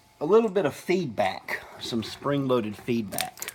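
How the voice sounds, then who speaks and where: A man mumbling in a Southern US accent with lively intonation at a very slow pace, over noticeable background noise. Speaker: hobbyist lock picker. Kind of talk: casual tutorial talk to camera.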